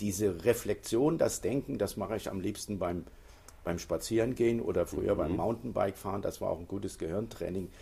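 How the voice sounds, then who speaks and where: In a dark, mellow tone, a man speaks at a fairly low pitch, somewhat breathy, with ordinary pitch variation. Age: 70s. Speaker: author. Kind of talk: interview. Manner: hesitant, with frequent fillers.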